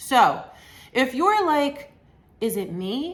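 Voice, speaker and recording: This is a woman's voice. Her pitch swings very widely. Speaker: psychotherapist. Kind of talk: educational talk to camera. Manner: slow, deliberate.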